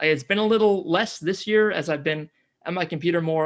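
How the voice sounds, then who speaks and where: In an American accent, a man talks at a fairly quick pace with fairly even intonation on a very clean recording with a silent background. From US Pacific Northwest, near Seattle; teens in New Zealand. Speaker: climate podcaster. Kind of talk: interview.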